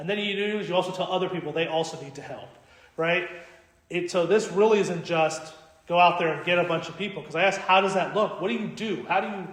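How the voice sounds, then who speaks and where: A man talks at a very fast pace and a high pitch, with fairly even intonation but big swings in loudness. Audible room echo and noticeable background noise fill the recording. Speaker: Orthodox priest. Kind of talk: Bible study talk to parishioners. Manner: casual, conversational.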